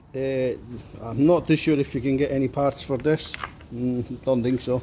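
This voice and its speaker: With an Italian accent, a man speaks at a medium pitch and a fairly slow pace. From Italy, near Salerno. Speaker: mechanic. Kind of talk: tutorial. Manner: casual.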